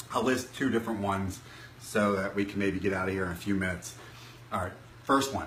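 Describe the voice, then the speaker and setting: Very fast speech broken by long, frequent pauses, with ordinary pitch variation, noticeable background noise and audible room echo. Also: man, fairly low pitch for a man. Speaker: self-improvement vlogger. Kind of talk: live stream talk. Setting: Facebook live stream from laptop. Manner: halting, some stuttering.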